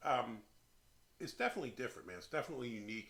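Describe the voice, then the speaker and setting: Very fast and medium in pitch, a man talks with a Philadelphia accent. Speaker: beer reviewer, channel host. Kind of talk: casual chat, beer review. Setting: beer shed. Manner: hesitant, filler-heavy.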